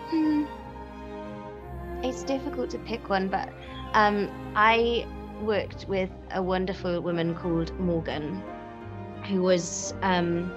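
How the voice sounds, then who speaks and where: Clear music plays in the background as a woman speaks at a very slow pace with long, frequent pauses. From Wales. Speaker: actress. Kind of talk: interview answer. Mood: warm, amused. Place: studio.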